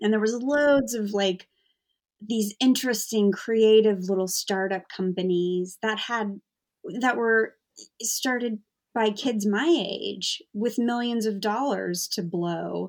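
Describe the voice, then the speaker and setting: A woman with an American accent talks at a very slow pace. Her pitch is fairly high, with ordinary pitch variation. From US. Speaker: comedy writer and author. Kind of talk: casual chat. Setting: video call.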